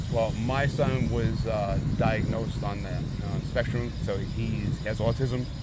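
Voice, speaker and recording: With an American accent, a man talks at a fairly slow pace with hardly any pauses, amid noticeable background noise and audible room echo. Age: 40s. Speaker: rock band vocalist. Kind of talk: casual interview. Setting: outdoor music festival.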